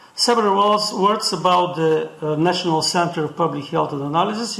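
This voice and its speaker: Noticeable background noise beneath a high-pitched male voice. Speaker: professor. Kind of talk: panel moderation. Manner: halting.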